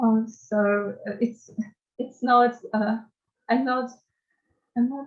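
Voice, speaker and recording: A woman's very slow, somewhat breathy speech at a fairly high pitch with monotone, flat intonation. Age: young. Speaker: university student, refugee. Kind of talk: interview answer.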